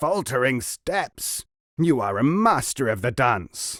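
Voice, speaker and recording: A man's put-on character voice, growling and bellowing at a medium pitch and a fairly slow pace, on a very clean recording with a silent background. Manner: roaring, boisterous.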